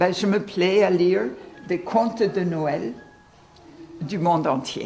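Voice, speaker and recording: A woman with a strong Irish accent and a medium pitch speaks at a very slow pace with ordinary pitch variation and long, frequent pauses, amid noticeable background noise and audible room echo. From Ireland. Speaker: volunteer storyteller, retired social worker. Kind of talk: interview with story reading.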